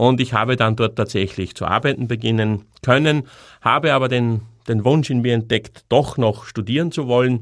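A man at a moderate pace, an ordinary speaking voice, on a very clean recording with a silent background. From Upper Austria. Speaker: podcast host, psychologist and former funeral director. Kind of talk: monologue podcast narration.

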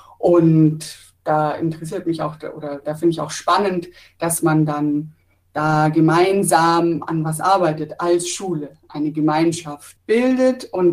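At a very slow pace, a woman talks with a fairly low pitch. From Pforzheim, Baden-Württemberg. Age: 30s. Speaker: trainee teacher. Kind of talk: interview.

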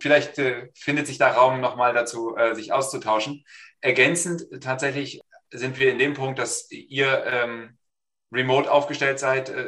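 At a fairly slow pace, a man talks with medium pitch and monotone, flat intonation. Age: 40s. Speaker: business consultant. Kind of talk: online panel discussion.

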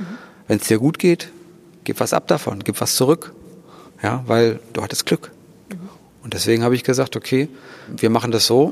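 A man at a moderate pace with lively intonation and long, frequent pauses, in a dry, close sound with no echo. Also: medium pitch for a man. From Thuringia, Germany. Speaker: organist and charity founder. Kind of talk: interview. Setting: church.

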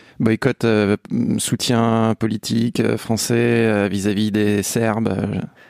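In a dry, close sound with no echo, a man speaks very slowly in a fairly low pitch with a monotone, flat intonation. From France. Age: 30s. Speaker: football writer. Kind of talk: casual chat.

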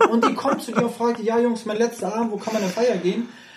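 Noticeable background noise runs through the clip. The speaker moves at a fairly quick pace. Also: man. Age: 30s. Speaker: professional poker player. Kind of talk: casual interview chat. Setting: in person, sitting face to face.

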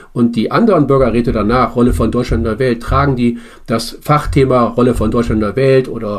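His pace is moderate. The man's pitch sits in the medium range. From Bremen, northern Germany. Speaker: citizens' assembly member. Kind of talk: interview. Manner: halting.

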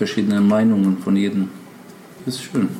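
A man with an Albanian accent speaks at a fairly low pitch. There is noticeable background noise and audible room echo. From North Macedonia. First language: Albanian (speaking German). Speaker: travel agency owner. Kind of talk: interview. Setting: in an office.

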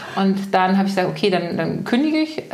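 Medium-pitched woman's voice with audible room echo and noticeable background noise. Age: 40s. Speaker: energetic life coach. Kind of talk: casual interview chat. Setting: in person at her home.

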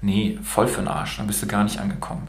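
A man with a non-native accent, with audible room echo. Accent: non-native German, self-described imperfect. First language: bilingual German and Romanian (speaking German). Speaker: podcast host. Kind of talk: casual interview.

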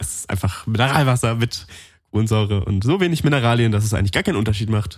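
At a very fast pace, a man talks in a somewhat breathy voice with ordinary pitch variation. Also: medium pitch for a man. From Allgäu, Bavaria. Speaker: podcast co-host. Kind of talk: casual chat. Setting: studio.

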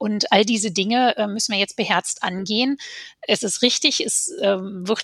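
A woman with a plain, everyday voice keeps a moderate pace and shows ordinary pitch variation. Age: 40s. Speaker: politician. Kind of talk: casual chat.

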